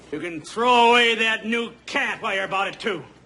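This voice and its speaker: A put-on, gruff character voice, raised and projected, at a fairly quick pace with ordinary pitch variation. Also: man, high pitch for a man. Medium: short film. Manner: gruff, cursing.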